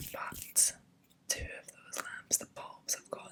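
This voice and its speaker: A woman whispers rather slowly while clear background noise carries on. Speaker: ASMR content creator. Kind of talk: ASMR skincare review, casual talk to camera. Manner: whispered, soft-spoken.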